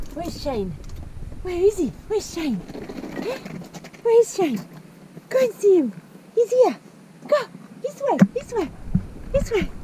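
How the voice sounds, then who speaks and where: With noticeable background noise and a dry sound with no echo, a woman talks at a fairly slow pace, leaving long, frequent pauses. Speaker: sailing vlogger. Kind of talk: baby talk to a pet. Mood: affectionate, cooing. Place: boat. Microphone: phone near.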